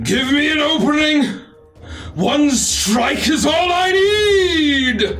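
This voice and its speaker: A booming, put-on character voice. It moves at a very slow pace. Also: man. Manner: commanding, shouting.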